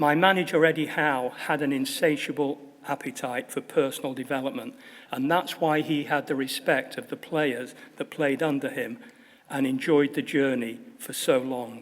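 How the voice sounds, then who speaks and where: This man's voice sits fairly high in pitch. He talks at a moderate pace with fairly even intonation. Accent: Manchester. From northern England, Manchester. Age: 70s. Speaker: honorary fellow, football assistant manager. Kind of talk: graduation speech. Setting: stage with audience.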